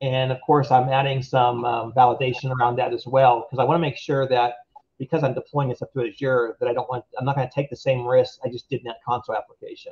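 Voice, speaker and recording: A somewhat breathy man speaks with monotone, flat intonation. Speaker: web3 game development tech lead. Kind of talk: technical workshop tutorial. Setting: remote video workshop. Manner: hesitant fillers.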